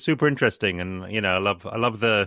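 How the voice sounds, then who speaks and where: At a moderate pace, a man with a fairly low pitch talks in a normal speaking voice with ordinary pitch variation. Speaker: podcast host. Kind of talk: podcast interview conversation.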